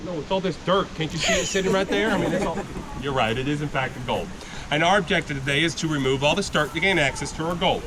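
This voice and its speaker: Over noticeable background noise, a man talks very fast in a fairly high voice with ordinary pitch variation. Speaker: gold panning instructor at tourist camp. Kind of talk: live demonstration to tour group. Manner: loud, projecting.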